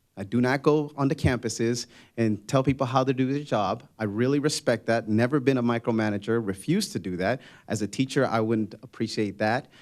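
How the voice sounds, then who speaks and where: A man talks at a fairly quick pace with a Spanish accent, his pitch medium with ordinary variation. The recording is very clean, with a silent background. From Spanish-speaking country, immigrant. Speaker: political candidate, school board member and teacher. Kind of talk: candidate forum answers.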